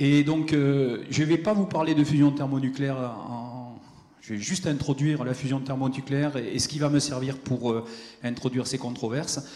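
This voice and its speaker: At a moderate pace, a man speaks with fairly high pitch and fairly even intonation, with audible room echo around him. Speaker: physicist giving a conference talk. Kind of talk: lecture. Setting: conference hall with audience. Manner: hesitant, with many fillers.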